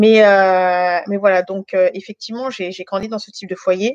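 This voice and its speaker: The pace is fairly slow. This woman's intonation stays monotone and flat. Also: dry, close sound with no echo. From France, Guinean family. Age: 30s. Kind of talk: testimony. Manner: hesitant, many fillers.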